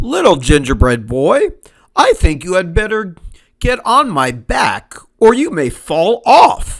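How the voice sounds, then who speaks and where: A man's put-on character voice, high-pitched and fairly slow. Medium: read story. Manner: polite, smooth, cunning.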